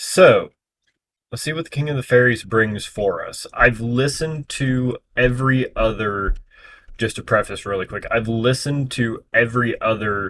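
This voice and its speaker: Using a plain, everyday voice, a man speaks at a moderate pace and medium pitch with ordinary pitch variation and big swings in loudness. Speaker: reaction youtuber. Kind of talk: casual reaction commentary.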